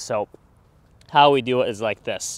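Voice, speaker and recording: A man's voice in a dry sound with no echo. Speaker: golf instructor. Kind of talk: tutorial. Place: open country. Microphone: lapel.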